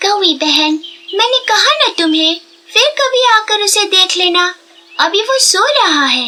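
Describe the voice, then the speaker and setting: A woman's cartoonish character voice, extremely high-pitched, with lively intonation, very even loudness and a fairly slow pace. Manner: earnest, slightly anxious.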